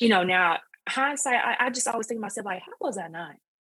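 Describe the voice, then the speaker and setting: A woman talks with lively intonation in an Alabama accent. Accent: Southern US (Alabama). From US South, northwest Alabama. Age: 30s. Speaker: online creator. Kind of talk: personal story in interview. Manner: hesitant, many fillers.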